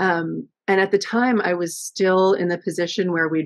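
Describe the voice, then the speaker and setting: With a Canadian accent and an ordinary speaking voice, a woman talks at a moderate pace and a fairly low pitch over a quiet background. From western Canada (Vancouver, from high school on). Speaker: yarn dyer, small business owner; guest. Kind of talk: casual interview. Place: home room. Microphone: video call.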